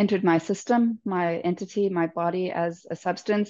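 A woman speaks at a fairly slow pace with fairly even intonation over a quiet background. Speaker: podcast guest. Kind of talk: interview answer. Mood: reflective, calm. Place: home room. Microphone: earbuds.

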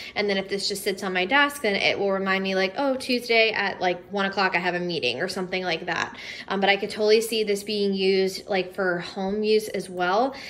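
A woman at a fairly quick pace, with ordinary pitch variation and hardly any pauses. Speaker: home decor vlogger, teacher. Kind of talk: casual haul vlog chat. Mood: upbeat, chatty. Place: home room. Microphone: phone near.

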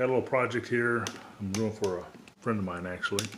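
Light background noise sits behind the voice. The pitch varies in an ordinary way. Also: man. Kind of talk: casual vlog chat. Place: workshop. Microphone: phone near.

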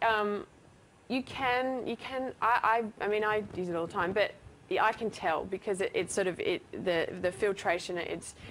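The woman talks fairly quickly. Her pitch shows ordinary variation. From Australia. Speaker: company co-founder and creative director. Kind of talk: TV interview. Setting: TV studio.

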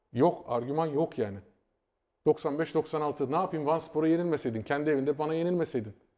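The background is quiet as a man speaks at a moderate pace. His pitch is fairly high, with ordinary variation. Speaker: football pundit. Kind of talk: casual chat. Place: studio. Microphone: lapel.

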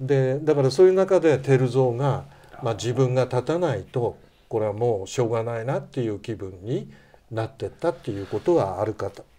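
At a fairly quick pace, a man speaks at a medium pitch in a dark, mellow tone. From Tochigi, Japan. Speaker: history researcher; guest. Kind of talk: interview. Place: studio. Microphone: lapel.

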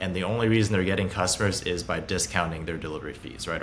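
Light background noise sits behind a man whose very deep, low voice keeps fairly even intonation. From Hong Kong and Beijing, China. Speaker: startup founder and CEO. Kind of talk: interview. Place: home room.

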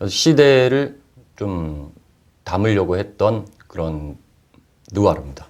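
A man with a very deep, low voice and very wide pitch swings. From South Korea, Busan. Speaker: actor. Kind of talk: interview.

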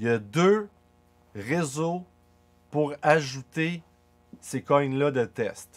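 Very slow and full of long, frequent pauses, a man's speech has a fairly high pitch and lively intonation. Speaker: crypto YouTuber. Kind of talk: tutorial. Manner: casual. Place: home room.

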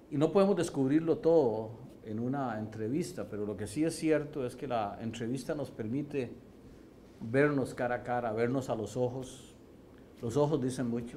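Light background noise sits behind a man's dark, mellow voice. He talks at a moderate pace with ordinary pitch variation. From Costa Rica (San Ramón), with years in Lebanon; Costa Rica. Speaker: university president. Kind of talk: interview testimony. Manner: halting, with repetitions. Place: hall. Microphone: lapel.

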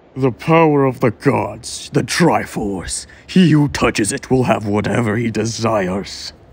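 A man uses a put-on character voice at a medium pitch with lively intonation. He keeps a moderate pace with hardly any pauses. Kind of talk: solemn villain monologue. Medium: fan dub. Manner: reflective, grave, then commanding.

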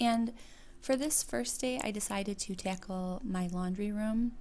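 Here a woman speaks. Her tone is dark and mellow, and somewhat breathy. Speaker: home vlogger. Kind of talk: casual vlog narration.

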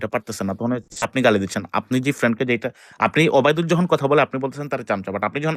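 A man with an unremarkable speaking voice talks at medium pitch with lively intonation, recorded dry and close with no echo. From Bangladesh, Dhaka. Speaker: voice chat room participant. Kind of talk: heated debate. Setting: online voice chat room.

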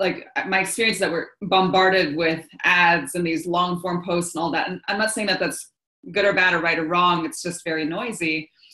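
Against a quiet background, a woman with a fairly low pitch talks at a moderate pace with fairly even intonation, and room echo is audible. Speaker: coach hosting a live session. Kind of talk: live webinar talk. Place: home room. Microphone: video call.

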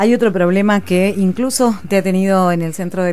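With an Argentine accent, a woman speaks with ordinary pitch variation. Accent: Rioplatense Argentine Spanish. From Argentina, Buenos Aires province. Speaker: radio host. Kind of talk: radio interview. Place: studio. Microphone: studio mic.

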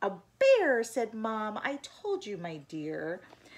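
Plain reading aloud

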